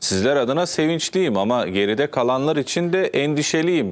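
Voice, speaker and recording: This man's pitch rises and falls across a very wide range. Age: 30s. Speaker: TV talk show host. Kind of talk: TV interview. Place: studio. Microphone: lapel.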